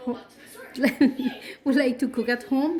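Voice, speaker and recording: The speaker is a woman. Her accent is Spanish. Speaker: cooking youtuber. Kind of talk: cooking tutorial. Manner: casual, with frequent fillers.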